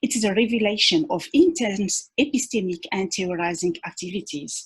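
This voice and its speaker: A woman's somewhat breathy voice at medium pitch, with lively intonation and a moderate pace. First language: not English (English is third language). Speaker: academic researcher, conference panelist. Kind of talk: academic conference presentation. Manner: halting, many fillers and repetitions; formal.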